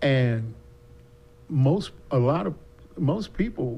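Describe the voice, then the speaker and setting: A very slow delivery with an American accent. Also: man. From US South. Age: 70s. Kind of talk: casual chat. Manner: talkative.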